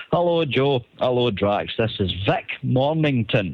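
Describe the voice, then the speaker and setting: The speaker has a Scottish accent and lively intonation. The pace is fairly slow. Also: man. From Scotland. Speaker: caller. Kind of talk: recorded voice message.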